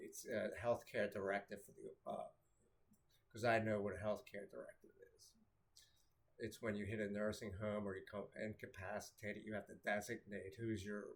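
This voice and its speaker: A man with an American accent talks at a moderate pace. He leaves long, frequent pauses, and his loudness swings widely. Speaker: vlogger. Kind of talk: casual monologue. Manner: halting.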